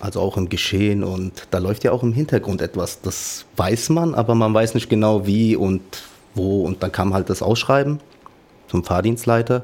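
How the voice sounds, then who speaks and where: Ordinary pitch variation marks a man's moderate-paced speech. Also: fairly low pitch for a man. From Offenbach, Hesse, Germany. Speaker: trainee dispatcher, former tram driver. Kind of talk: casual interview. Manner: halting.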